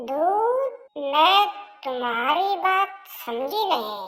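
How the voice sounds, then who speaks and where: A woman uses a cartoonish character voice, squeaky and extremely high in pitch. Her pitch swings very widely. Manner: brusque, self-centred.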